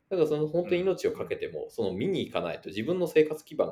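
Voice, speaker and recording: A man is speaking here. His pace is very fast. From Japan, Yamaguchi. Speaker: venture capitalist. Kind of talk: casual chat. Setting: online call.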